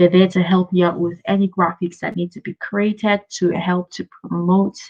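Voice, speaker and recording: Here a woman talks at a fairly slow pace. Her voice is somewhat breathy, with a medium pitch. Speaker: business coach. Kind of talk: live Q&A webinar.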